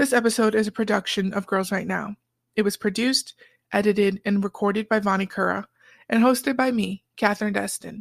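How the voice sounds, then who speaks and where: Delivered at a fairly quick pace, the voice has vocal fry and a monotone, flat intonation on a very clean recording with a silent background. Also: woman, medium pitch for a woman. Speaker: podcast host. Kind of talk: scripted intro narration.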